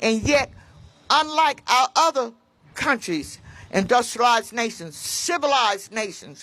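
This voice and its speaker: A woman speaks with an American accent at a fairly slow pace. Her high-pitched voice has a bright, sharp tone and very wide pitch swings. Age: 80s+. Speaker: patient advocate. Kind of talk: rally speech. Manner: halting.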